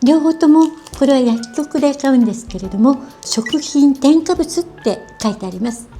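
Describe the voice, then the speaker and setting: Against music in the background, a woman speaks at a fairly slow pace with lively intonation. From Japan. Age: 70s. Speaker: beauty and wellness personality. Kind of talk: casual how-to explanation to camera.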